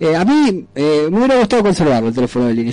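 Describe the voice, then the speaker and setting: Noticeable noise runs underneath the recording. The speaker is a man. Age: 40s. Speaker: radio host. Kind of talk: casual radio chat.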